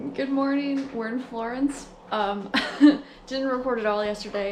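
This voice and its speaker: Over noticeable background noise and audible room echo, a woman talks with ordinary pitch variation. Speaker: travel vlogger. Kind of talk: casual vlog narration.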